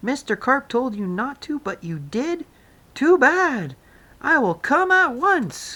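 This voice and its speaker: Using a put-on character voice, a woman talks fairly slowly and high in pitch, her pitch swinging very widely, on a very clean recording with a silent background. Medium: read story. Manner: brisk, businesslike.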